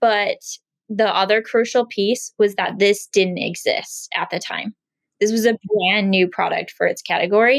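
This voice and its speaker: Here a woman talks fairly slowly at a medium pitch. The sound is dry and close with no echo. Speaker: beauty brand founder. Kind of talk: interview. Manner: animated.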